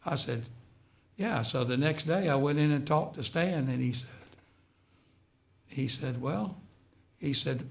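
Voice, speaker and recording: A man talks at a fairly high pitch, sounding somewhat breathy, with long, frequent pauses. There is audible room echo. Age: 70s. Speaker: retired high school basketball coach. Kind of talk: radio interview. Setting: radio studio.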